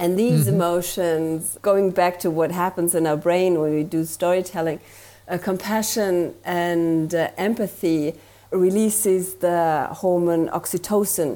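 A woman with a German accent speaks fairly slowly at a fairly low pitch, her tone dark and mellow. Her loudness stays very even, and the recording is very clean with a silent background. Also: fairly even intonation. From Germany. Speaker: marketing consultant. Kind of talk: interview.

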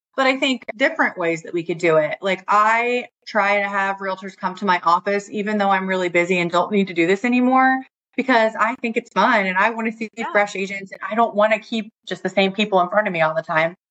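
With a normal speaking voice, a woman talks at a fairly quick pace and medium pitch, using ordinary pitch variation. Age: 40s. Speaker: new home sales rep. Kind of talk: casual interview.

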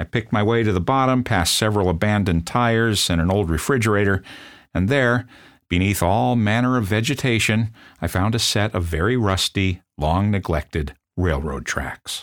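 In a very clean recording with a silent background, a man with an American accent uses an ordinary speaking voice at a fairly low pitch, with lively intonation, very even loudness and a moderate pace. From US Midwest, South Bend, Indiana. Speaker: podcast host and storyteller. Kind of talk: scripted narration.

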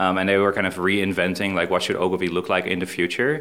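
A man with a Dutch accent, a very deep, low pitch and a bright, sharp tone. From Netherlands, Amsterdam. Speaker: business executive. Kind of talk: interview.

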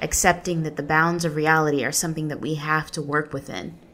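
A woman with an ordinary speaking voice talks fairly quickly at a fairly low pitch. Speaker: narrator, writer. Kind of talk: literary audiobook reading, personal essay narration. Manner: earnest, reflective, measured.

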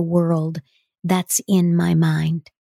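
A woman speaks very slowly at a fairly low pitch, the sound dry and close with no echo, in a very clean recording with a silent background. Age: 70s. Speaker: voice and presentation coach, podcast host. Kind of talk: solo monologue podcast.

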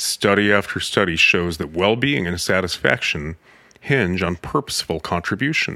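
A man's bright, sharp voice with lively intonation. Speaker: podcast host and author. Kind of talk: reading aloud his own article; casual monologue.

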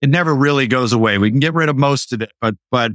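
Recorded with a dry, close sound and no echo, a man with an unremarkable speaking voice talks at a moderate pace in a medium pitch with ordinary pitch variation. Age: 50s. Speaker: marketer and entrepreneur. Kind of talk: casual interview.

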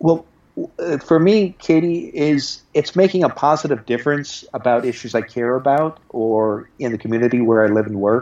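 In a normal speaking voice, a man at a medium pitch talks at a moderate pace with lively intonation. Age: 50s. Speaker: job board publisher and PR business owner. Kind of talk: interview.

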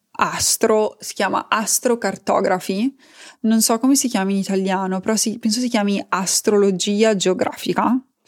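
Her medium-pitched voice keeps a fairly even intonation as this woman talks at a fairly slow pace. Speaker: podcast host, life coach. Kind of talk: casual monologue. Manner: halting, with fillers.

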